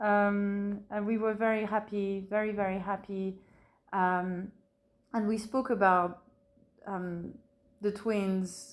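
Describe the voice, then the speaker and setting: A woman with a French accent, medium pitch, monotone, flat intonation, very slow pace and long, frequent pauses, on a very clean recording with a silent background. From France, Burgundy. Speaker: bereaved mother. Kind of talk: interview testimony. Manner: hesitant, many fillers.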